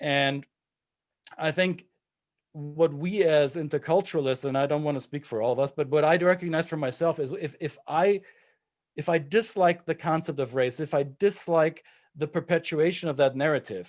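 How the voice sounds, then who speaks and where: In a German accent, a man with a fairly high pitch speaks at a moderate pace against a quiet background. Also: ordinary pitch variation. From Germany. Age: 40s. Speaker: intercultural trainer. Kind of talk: panel discussion. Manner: halting.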